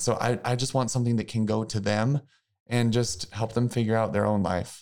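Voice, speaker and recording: A man with an American accent, medium pitch, moderate pace, and an unremarkable speaking voice. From US Midwest, small-town Missouri. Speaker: former college mascot and author. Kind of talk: interview.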